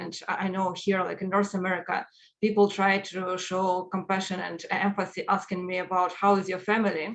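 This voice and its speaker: A woman's medium-pitched voice in a Ukrainian accent, moderate in pace, with monotone, flat intonation. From Ukraine. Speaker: agile coach and speaker. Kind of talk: conference talk.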